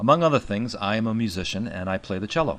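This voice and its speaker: At a fairly quick pace, a voice with a New York accent and lively intonation comes through over a quiet background. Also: man. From New York City. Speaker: musician and bass tutor. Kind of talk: tutorial.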